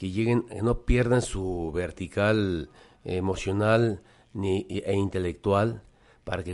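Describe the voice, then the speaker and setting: Against a quiet background, a man talks at a fairly low pitch with fairly even intonation. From Mexico, Guadalajara. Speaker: singer-songwriter and cultural promoter. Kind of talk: casual chat. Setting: studio.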